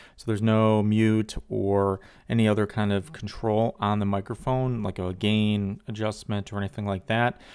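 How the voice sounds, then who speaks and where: Delivery is monotone and flat at a moderate pace, with hardly any pauses and big swings in loudness. The recording is very clean, with a silent background. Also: man, fairly low pitch for a man. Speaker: tech reviewer. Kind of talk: product review. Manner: casual, with fillers.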